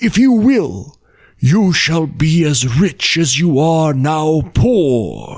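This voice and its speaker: Using a put-on character voice, a man speaks at a fairly high pitch and a very slow pace. The recording is very clean, with a silent background. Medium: read story.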